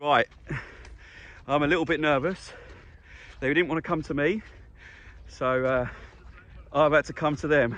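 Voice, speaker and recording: Vocal fry at a moderate pace, with fairly even intonation and long, frequent pauses. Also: man. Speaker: vegetable farmer and vlogger. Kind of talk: casual vlog. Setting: outdoors; in a car.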